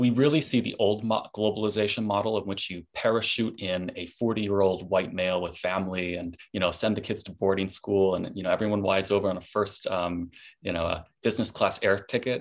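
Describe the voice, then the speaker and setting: Over a quiet background, a man with a plain, everyday voice speaks at a fairly quick pace with hardly any pauses. His pitch is fairly low and his intonation fairly even. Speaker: startup founder; panelist. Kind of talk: webinar panel talk. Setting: video call. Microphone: video call.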